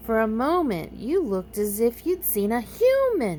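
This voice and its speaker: A woman uses a put-on character voice at a moderate pace. Clear background noise runs underneath. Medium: read story. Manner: know-it-all, brisk.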